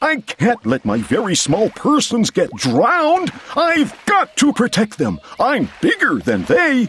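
In a put-on character voice, the speaker talks at a fairly high pitch and a fairly slow pace, with hardly any pauses. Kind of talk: children's read-aloud. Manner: earnest, gentle, caring.

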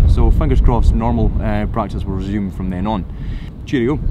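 Loud background noise fills the recording. A man talks at a fairly quick pace. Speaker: tour guide vlogger. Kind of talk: casual vlog chat. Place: waterside. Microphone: phone near.

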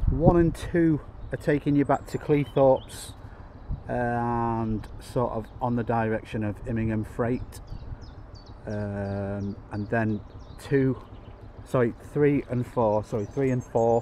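A man talks at a very slow pace, with long, frequent pauses and ordinary pitch variation. The sound is dry with no echo, over light background noise. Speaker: train vlogger. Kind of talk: casual vlog chat. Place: station. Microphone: phone near.

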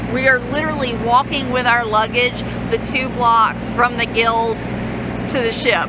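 The speech moves at a fairly slow pace. Loud background noise fills the dry, echo-free sound. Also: woman. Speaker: travel vlogger. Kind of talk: casual vlog chat. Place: street. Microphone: phone near.

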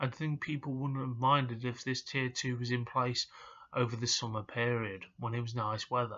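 Over a quiet background, a man with an East Midlands accent talks at a moderate pace in a monotone, flat intonation. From England. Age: 30s. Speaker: hospitality worker and vlogger; vlogger. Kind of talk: personal vlog rant. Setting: at home in his room. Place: home room. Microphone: webcam.

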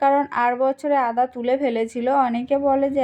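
A woman with a high pitch, a dark, mellow tone and a Sundarbans accent. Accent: Sundarbans village Bengali. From Sundarbans, West Bengal. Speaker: village lifestyle vlogger. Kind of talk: casual vlog narration.

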